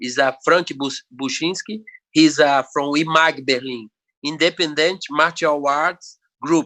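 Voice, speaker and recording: In a Brazilian Portuguese accent, a man talks at a fairly slow pace with fairly even intonation, his bright, sharp tone captured in a dry, close sound with no echo. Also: fairly high pitch for a man. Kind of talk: podcast interview. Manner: halting.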